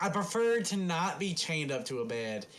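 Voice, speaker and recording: The speaker uses a put-on character voice that sounds strained. The pace is moderate, with audible echo. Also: man, high pitch for a man. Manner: pained, strained.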